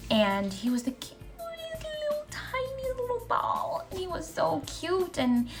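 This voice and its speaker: Over background music, a woman speaks at a fairly slow pace with hardly any pauses. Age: 20s. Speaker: lifestyle vlogger. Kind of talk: casual Q&A vlog.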